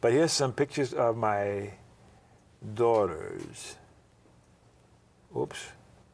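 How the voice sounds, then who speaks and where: Very slow pace with long, frequent pauses. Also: man. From New Orleans, Louisiana. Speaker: retired psychologist and veteran. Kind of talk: interview recollections.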